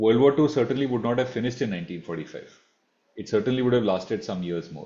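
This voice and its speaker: A man speaks with an Indian accent. His medium-pitched voice has lively intonation. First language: Marathi. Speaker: online class mentor, economics teacher. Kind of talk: online masterclass Q&A. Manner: formal.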